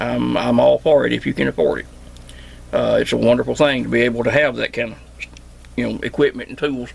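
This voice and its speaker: A man with a strong Southern Appalachian accent, amid noticeable background noise. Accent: strong Southern Appalachian drawl. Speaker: homesteader and CB radio repairman. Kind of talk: casual vlog monologue. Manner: casual, hesitant with fillers.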